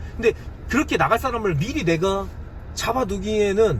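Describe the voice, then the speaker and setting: A man speaks in an animated tone at a fairly quick pace. There is noticeable background noise. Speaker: online seller and YouTuber. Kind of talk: casual tutorial monologue. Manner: fast.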